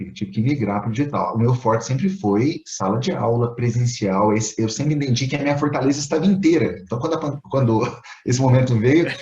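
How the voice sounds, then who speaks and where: Speaking at a medium pitch with lively intonation, a man barely pauses. Background noise is noticeable. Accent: Minas Gerais. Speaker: engineering teacher and Lean Six Sigma trainer. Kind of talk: casual interview conversation.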